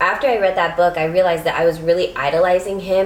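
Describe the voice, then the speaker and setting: A woman speaks fairly quickly at a fairly low pitch. Her intonation stays fairly even over noticeable background noise. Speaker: lifestyle vlogger. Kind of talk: casual chat.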